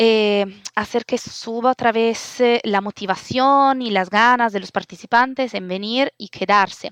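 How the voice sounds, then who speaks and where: A woman with an Italian accent talks at a fairly slow pace, barely pausing, her intonation fairly even. Her loudness swings widely, and the sound is dry and close with no echo. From Italy. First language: Italian (speaking Spanish). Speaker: open-source community organizer. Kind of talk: interview. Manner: halting, many fillers.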